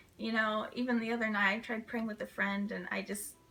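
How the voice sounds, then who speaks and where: Music plays behind a flat, monotone voice that moves at a moderate pace. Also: woman. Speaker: theology student vlogger. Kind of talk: casual interview. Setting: video interview. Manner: halting.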